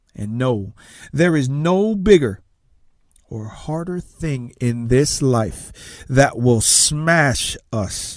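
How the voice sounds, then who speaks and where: A man speaks at a very slow pace with a fairly high pitch. His intonation is lively. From Tonga. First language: Tongan. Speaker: success coach and motivational speaker. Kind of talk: motivational talk.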